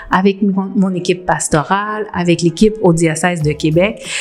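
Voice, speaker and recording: With music in the background, a woman in a Quebec accent speaks at a fairly slow pace, her medium pitch showing ordinary variation. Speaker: pastoral worker. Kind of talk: interview testimony. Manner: hesitant, with fillers.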